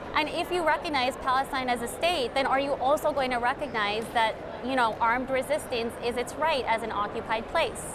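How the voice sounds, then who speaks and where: At a fairly quick pace and a high pitch, a woman talks with a Chicago-area accent over noticeable background noise. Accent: Chicago-area American English. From Chicago suburbs. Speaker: human rights attorney and activist. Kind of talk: interview answer.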